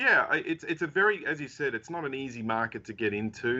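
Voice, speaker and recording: A man speaks with an Australian accent. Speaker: technology company CEO. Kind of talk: interview. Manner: halting, many fillers.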